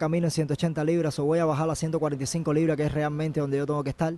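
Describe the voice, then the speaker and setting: A dark, mellow tone with a Cuban accent, dry and free of echo. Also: man. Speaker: MMA fighter. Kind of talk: interview. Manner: halting. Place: gym. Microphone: handheld.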